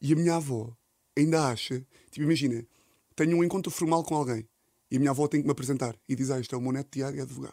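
In a very clean recording with a silent background, a man with a fairly high pitch and a dark, mellow tone speaks at a very fast pace with fairly even intonation and long, frequent pauses. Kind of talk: casual chat.

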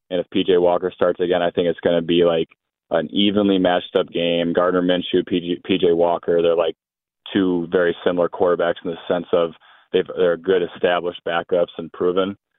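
With a very deep, low pitch, a man talks at a fairly quick pace in a monotone, flat intonation. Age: 30s. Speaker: caller. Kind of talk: radio call-in. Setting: phone call.

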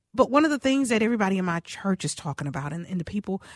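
A woman's animated, lively, medium-pitched voice, dry and close with no echo, on a very clean recording with a silent background. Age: 50s. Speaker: radio host. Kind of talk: casual chat. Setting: studio.

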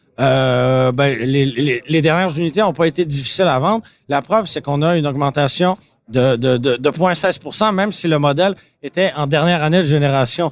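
At a moderate pace, a man with a fairly high pitch speaks with ordinary pitch variation and very even loudness. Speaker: car podcast host. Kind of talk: casual chat. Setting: auto show floor with public.

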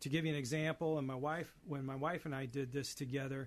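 A man with a fairly high pitch speaks in a plain, everyday voice, his intonation fairly even against a quiet background. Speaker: elder care financial planner. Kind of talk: advice segment.

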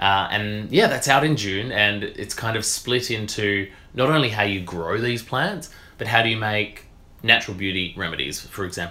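Bright and sharp in tone, a man's fairly low voice moves at a moderate pace with ordinary pitch variation. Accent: Australian. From rural Western Australia. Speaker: naturopath and media presenter. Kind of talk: casual interview.

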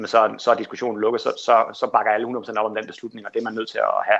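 Nothing can be heard behind the speaker. The words come out very rapidly. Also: man. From Denmark, Kolding. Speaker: sailor, elite athlete. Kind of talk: interview.

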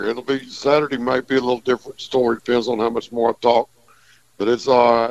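A man with a medium pitch at a fairly quick pace, dry and close with no echo. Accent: Texas. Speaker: fishing guide. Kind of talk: radio call-in report.

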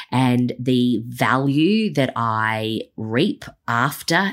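With an Australian accent, a woman speaks. Her pitch is very deep and low. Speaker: business coach podcast host. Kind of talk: solo podcast monologue. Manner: many fillers and restarts.

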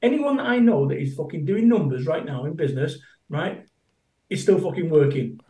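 This man speaks in a Mancunian accent at a fairly quick clip, with an animated tone. His pitch swings very widely. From Manchester, England. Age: 50s. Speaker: motivational business speaker. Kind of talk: casual interview chat. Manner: animated, emphatic.

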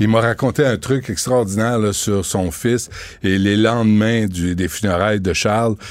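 A man with a plain, everyday voice speaks at a fairly low pitch and a moderate pace. His loudness stays very even. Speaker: radio host and documentary maker. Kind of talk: interview. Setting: studio.

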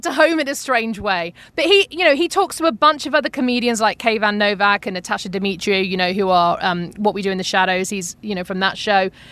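A woman with a British accent talks at a very fast pace in a bright, sharp tone, her pitch swinging very widely. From United Kingdom. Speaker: podcast host. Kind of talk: casual chat.

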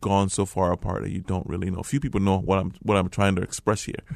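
The background is quiet. A man with an American accent speaks in a very deep, low voice. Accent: American-sounding. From Liberia. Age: 40s. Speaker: refugee and forgiveness speaker. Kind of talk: personal testimony interview. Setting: radio studio. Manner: halting, with many repetitions.

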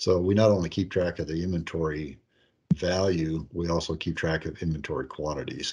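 A man with an Upper Midwest accent, very deep and low in pitch, talking at a fairly quick pace in a monotone, flat intonation. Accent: Upper Midwest American. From northeast Iowa. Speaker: accounting software company president. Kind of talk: interview.

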